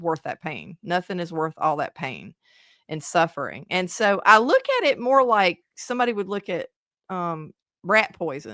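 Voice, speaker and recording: A woman with a Southern US accent, medium pitch, a bright, sharp tone and lively intonation at a moderate pace, in a dry, close recording with no echo and a very clean, silent background. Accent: Southern twang. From South Carolina.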